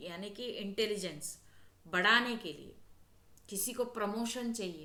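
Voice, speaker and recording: A woman with a South Indian accent speaks at a fairly high pitch with ordinary pitch variation, and the room echo is audible. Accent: South Indian accent in Hindi, non-native. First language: South Indian language (speaking Hindi). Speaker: spiritual healer and astrology channel host. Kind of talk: spiritual talk to camera.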